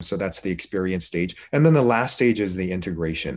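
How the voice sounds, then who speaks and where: Very deep and low, a man's voice comes through with an American accent. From Korea, raised in the United States. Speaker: emergency physician. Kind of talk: interview.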